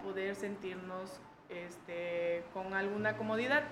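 In a room with audible echo, a woman speaks at a medium pitch and a fairly slow pace. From Mexico, Chiapas (Tuxtla Gutiérrez). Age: 20s. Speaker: LGBT activist. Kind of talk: casual interview.

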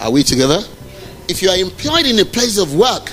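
Over noticeable background noise, a man talks in a high pitch with lively intonation. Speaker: preacher. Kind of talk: sermon. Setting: church. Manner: animated.

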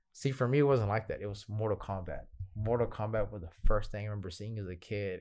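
A plain, everyday voice with an American accent at a fairly quick pace, in a very clean recording with a silent background. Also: man. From Houston, Texas. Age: 30s. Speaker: Muay Thai fighter and coach. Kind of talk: casual interview.

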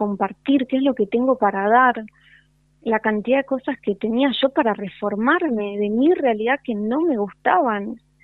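She talks at a fairly slow pace with a Rioplatense accent. Her pitch varies in an ordinary way. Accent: Argentine Rioplatense Spanish. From Argentina, Concordia, Entre Ríos. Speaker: yoga and spiritual teacher. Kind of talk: casual interview. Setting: phone call.

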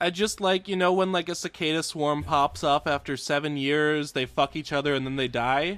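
The speaker has an American accent and an animated tone, with ordinary pitch variation. The pace is moderate with hardly any pauses, on a very clean recording with a silent background. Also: man, fairly high pitch for a man. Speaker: podcast host. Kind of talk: casual comedic chat. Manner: animated, joking.

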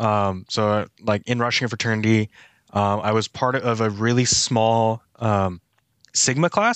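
The speaker has an American accent and a monotone, flat delivery at a moderate pace. The background is quiet, and the sound is dry and close with no echo. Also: man. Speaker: church staff member. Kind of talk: casual chat.

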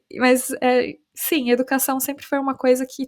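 On a very clean recording with a silent background, a woman speaks at a high pitch with fairly even intonation. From Brazil, São Paulo. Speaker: English teacher and startup founder. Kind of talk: casual interview chat.

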